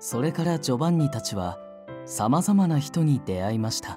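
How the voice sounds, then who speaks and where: Music plays in the background while a man speaks at a moderate pace. His pitch is medium, with very wide swings. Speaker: voice actor. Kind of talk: audiobook literature reading.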